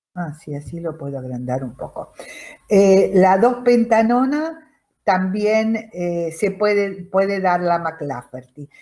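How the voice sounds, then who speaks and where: This woman speaks fairly slowly, her fairly low voice dark and mellow. Her intonation is lively. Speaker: chemistry teacher. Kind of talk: lecture.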